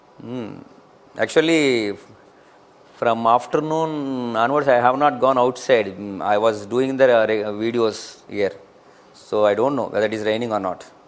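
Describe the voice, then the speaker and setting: A man talks at a moderate pace in a medium pitch with ordinary pitch variation. Background noise is noticeable. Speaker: online teacher of compiler design. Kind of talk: live online lecture.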